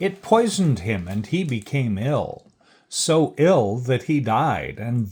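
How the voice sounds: This is a natural reading voice. The speaker reads in a natural reading voice.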